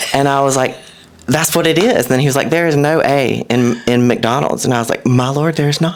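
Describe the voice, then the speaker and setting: A man with a Southern US accent and a fairly high voice speaks at a fairly quick pace, with very even loudness and ordinary pitch variation, over noticeable background noise. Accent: mild Southern. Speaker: content creator. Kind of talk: casual chat. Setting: podcast. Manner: animated.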